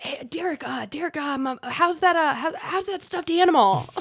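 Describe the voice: A raspy, extremely high-pitched put-on character voice at a moderate pace.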